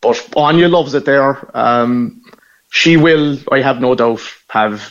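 A man talks with a Cork accent and ordinary pitch variation. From Ireland, Cork (Knocknaheeny). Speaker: Irish emigrant returning home. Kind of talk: radio phone interview.

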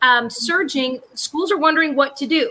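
Over noticeable background noise, a woman talks in a raised, projected voice. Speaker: co-host. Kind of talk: casual panel chat.

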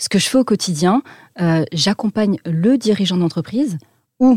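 Her voice is somewhat breathy. This woman is heard in a dry, close sound with no echo. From French Alps. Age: 30s. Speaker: business intelligence firm founder, former army officer. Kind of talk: interview.

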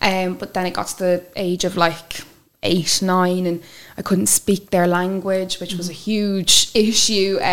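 A woman of medium pitch in an Irish accent, at a fairly slow pace amid noticeable background noise. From Ireland, with childhood years in France and Wales. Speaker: interview guest sharing life story. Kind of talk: personal testimony interview.

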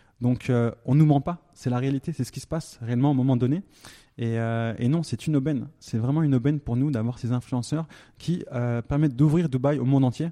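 A man's dark, mellow voice at medium pitch, with fairly quick pace and fairly even intonation. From France, Haute-Savoie. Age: 30s. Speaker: entrepreneur. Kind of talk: interview. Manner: hesitant, many fillers.

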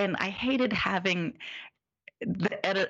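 A woman with a Midwestern American accent talks with lively intonation. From US Midwest, Indianapolis, Indiana. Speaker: zine publisher, author and illustrator. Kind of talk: casual interview conversation.

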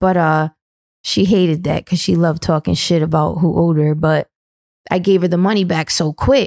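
An unremarkable speaking voice with an American accent moves at a moderate pace, with ordinary pitch variation and very even loudness. The sound is dry and close, with no echo. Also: woman, fairly low pitch for a woman. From New London, Connecticut. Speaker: brand manager. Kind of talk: casual chat.

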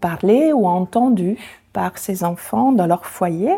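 Speaking very slowly with an Italian accent, a woman uses a medium pitch, a dark, mellow tone and lively intonation. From Italy, near Venice. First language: Italian (speaking French). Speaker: association founder. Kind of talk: interview.

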